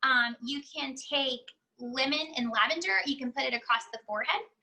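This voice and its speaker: A woman speaks in a raised, projected voice. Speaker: essential oils educator, mother. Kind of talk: online class / webinar. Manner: fast; casual, filler-heavy.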